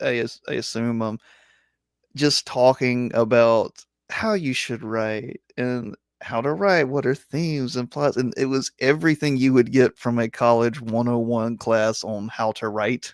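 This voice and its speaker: Recorded very clean with a silent background and a dry, close sound with no echo, a man at a medium pitch speaks at a moderate pace with fairly even intonation. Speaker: sci-fi and fantasy author. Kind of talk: casual interview chat. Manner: halting, many repetitions.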